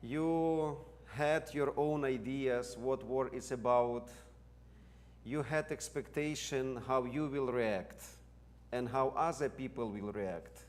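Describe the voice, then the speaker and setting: A man talks at a very slow pace in a Ukrainian accent. His pitch varies in an ordinary way. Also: medium pitch for a man. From Ukraine. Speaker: seminary president and theologian. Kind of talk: lecture.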